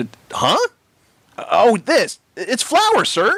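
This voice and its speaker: Here is a put-on character voice. Its pitch is extremely high. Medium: read story.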